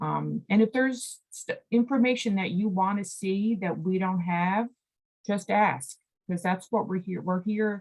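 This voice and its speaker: A woman speaks at a moderate pace in a medium pitch, her voice somewhat breathy with ordinary pitch variation. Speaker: executive director of a state environmental nonprofit, presenter. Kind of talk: presentation at a committee meeting.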